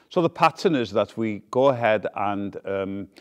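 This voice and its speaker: A man speaks with a Welsh accent. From Wales. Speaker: founder of a community theater group. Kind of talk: interview; rehearsal coaching.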